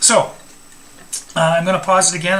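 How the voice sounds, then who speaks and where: A man is heard speaking with noticeable background noise. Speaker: electronics instructor. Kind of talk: tutorial. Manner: halting, with fillers.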